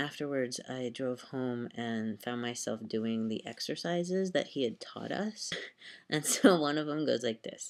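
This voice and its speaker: A man talks fairly slowly, his intonation lively. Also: medium pitch for a man. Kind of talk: casual talk to camera. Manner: rambling, distractible.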